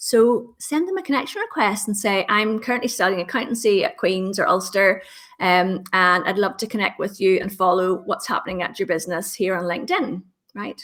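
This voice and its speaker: Speaking at a fairly quick pace with a Northern Irish accent, this woman has a medium pitch and ordinary pitch variation. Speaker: LinkedIn trainer. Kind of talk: interview. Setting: podcast.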